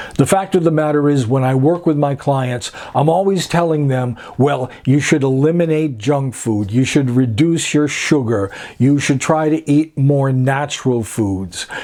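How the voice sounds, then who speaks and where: A man speaks fairly slowly at a fairly high pitch with ordinary variation and very even loudness. Noticeable background noise runs behind him. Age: 60s. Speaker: personal trainer. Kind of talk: casual talk to camera.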